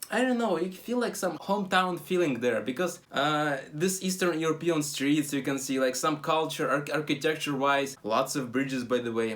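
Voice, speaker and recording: Speaking in a Russian accent at a moderate pace, the man has a fairly high pitch. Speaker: travel vlogger. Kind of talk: casual travel vlog talk. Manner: halting, many fillers.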